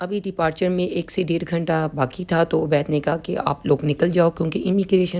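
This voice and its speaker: Fairly low, dark and mellow woman's voice, flat and monotone, at a moderate pace. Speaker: vlogger. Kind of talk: travel vlog narration.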